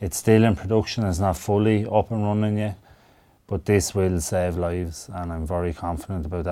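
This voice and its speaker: With a Wexford Irish accent, a man with a very deep, low pitch and a dark, mellow tone speaks at a fairly quick pace with fairly even intonation. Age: 30s. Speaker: professional boxer. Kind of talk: radio interview. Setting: radio studio.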